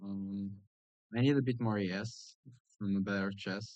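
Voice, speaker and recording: Here a man with a non-native accent speaks at a moderate pace. His fairly low voice has monotone, flat intonation. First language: not English. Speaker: gaming youtuber. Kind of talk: gameplay commentary. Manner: halting, many fillers and restarts; casual.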